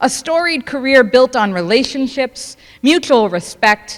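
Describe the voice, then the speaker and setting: A loud woman at a high pitch, at a very slow pace. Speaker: family member giving speech. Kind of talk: prepared speech.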